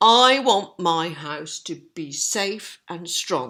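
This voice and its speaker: A raspy, put-on character voice sits at a middle pitch and moves at a very slow pace. The recording is very clean, with a silent background. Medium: read story.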